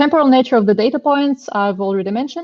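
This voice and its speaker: A woman talks in a Russian accent. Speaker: machine learning engineer, conference speaker. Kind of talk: technical talk. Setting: online meetup. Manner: hesitant, many fillers.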